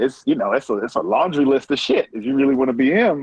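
A man with an American accent, very fast pace and lively intonation. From Prince George's County, Maryland. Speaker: TV showrunner and writer. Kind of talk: casual interview. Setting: remote via app.

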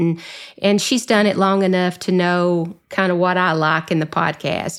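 With a Southern US accent, a woman of medium pitch speaks at a fairly slow pace and with fairly even intonation on a very clean recording with a silent background. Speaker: association executive director and podcast host. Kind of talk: casual interview chat.

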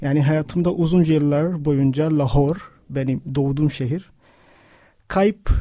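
This man talks at a very slow pace with fairly even intonation. His tone is dark and mellow, and his pitch fairly high. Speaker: podcast co-host, writer. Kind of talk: reading aloud own writing mixed with discussion. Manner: halting, many fillers.

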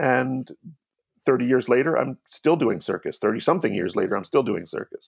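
Talking at a fairly quick pace, a man with an American accent uses a medium pitch and lively intonation, the sound dry and close with no echo. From US Northeast, Hamilton, New Jersey. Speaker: poet and circus performer. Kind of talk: casual chat. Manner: halting.

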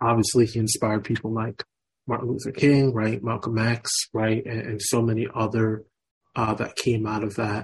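With an American accent, a man talks at a medium pitch and a moderate pace. His delivery is monotone and flat, and somewhat breathy. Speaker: radio host. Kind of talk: radio interview, conversational.

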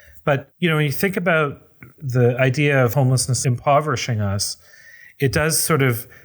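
Somewhat breathy, the voice moves at a moderate pace with ordinary pitch variation on a very clean recording with a silent background. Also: man. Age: 40s. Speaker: housing nonprofit executive director. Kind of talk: interview.

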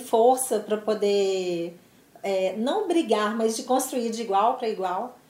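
At a very slow pace, a woman speaks with a fairly high pitch and ordinary pitch variation over noticeable background noise. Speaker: business executive. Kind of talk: interview.

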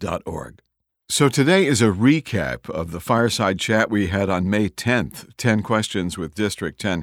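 Fairly low male voice with vocal fry and lively intonation at a moderate pace, very clean recording, silent background. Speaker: podcast host. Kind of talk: podcast intro and outro narration.

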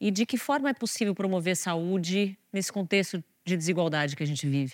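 A woman speaks in an unremarkable speaking voice with ordinary pitch variation. Her pitch is fairly low, on a very clean recording with a silent background. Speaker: journalist and editor. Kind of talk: interview.

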